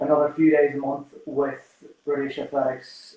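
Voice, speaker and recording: With a strong Irish accent, a man talks at a moderate pace in a fairly high pitch. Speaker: sports psychologist. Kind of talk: live-stream interview. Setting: Instagram Live video stream.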